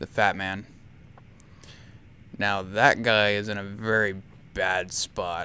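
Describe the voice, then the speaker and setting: A soft-spoken man talks at a very slow pace and a fairly low pitch. His tone is bright and sharp, his intonation monotone and flat. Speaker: gaming video creator. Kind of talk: gameplay commentary. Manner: soft-spoken in spots; starts loud then lowers volume.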